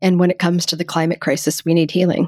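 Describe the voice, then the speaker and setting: A woman speaks with a fairly low pitch. The recording is very clean with a silent background and a dry, close sound with no echo. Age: 50s. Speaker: screenwriter and author. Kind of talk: interview conversation.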